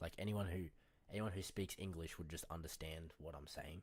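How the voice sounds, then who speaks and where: A man talks at a fairly quick pace with a very deep, low pitch and ordinary pitch variation. The recording is very clean, with a silent background. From Australia. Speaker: day trader streaming live trades. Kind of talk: casual live stream chat while trading. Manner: casual, slangy, not especially clear.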